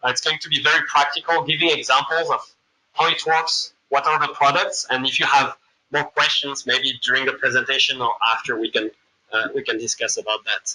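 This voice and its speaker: A man speaks at a fairly quick pace. He has a slight French accent. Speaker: machine learning consultant, presenter. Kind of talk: lecture. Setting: room with live audience. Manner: halting, many fillers.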